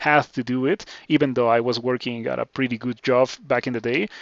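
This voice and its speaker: A man speaks with a Spanish accent. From Mexico. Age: 20s. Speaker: video game streamer. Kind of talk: casual chat. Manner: halting.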